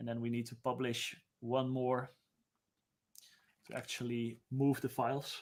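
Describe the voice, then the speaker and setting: The pace here is moderate. It's a male voice. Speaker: UX designer; presenter. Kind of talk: live-stream tutorial. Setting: live stream. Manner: casual, unscripted. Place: home room.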